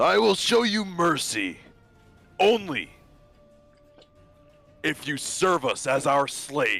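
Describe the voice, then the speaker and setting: In a put-on character voice with an implied Glaswegian-free act, a man speaks very slowly at a high pitch, leaving long, frequent pauses while faint music plays behind him. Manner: booming, commanding.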